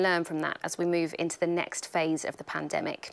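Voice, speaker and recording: The recording is very clean, with a silent background. A woman with a British accent speaks at a very fast pace. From Britain. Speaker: journalist and event host. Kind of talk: moderated interview. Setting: live-streamed event at company headquarters.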